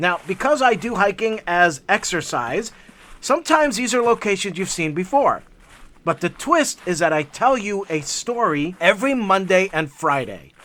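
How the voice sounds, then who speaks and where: This man's high voice has a bright, sharp tone and very wide pitch swings at a moderate pace. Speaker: hiking vlogger. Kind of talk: casual vlog narration. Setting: outdoors on a hiking trail.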